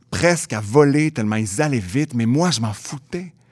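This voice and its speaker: Speaking fairly slowly in a Quebec accent, a man is heard in a very clean recording with a silent background. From Quebec City. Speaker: theatre creator and storyteller. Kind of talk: storytelling.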